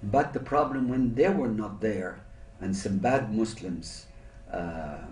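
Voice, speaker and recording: A man's fairly low voice at a fairly slow pace, with audible room echo. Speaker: interviewee. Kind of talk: interview answer. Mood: reflective, calm. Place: meeting room.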